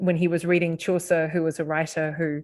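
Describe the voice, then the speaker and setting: A woman with a New Zealand accent speaks in a fairly low, monotone voice with flat intonation, in a very clean recording with a silent background. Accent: New Zealand twang. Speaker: professor. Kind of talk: podcast interview. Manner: hesitant, with fillers and restarts.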